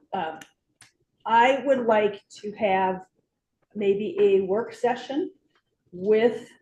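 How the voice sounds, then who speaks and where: A woman speaks with a dark, mellow tone. Her pitch varies in an ordinary way. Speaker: city council member. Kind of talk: council meeting discussion. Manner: slow, careful speaking; hesitant, many fillers.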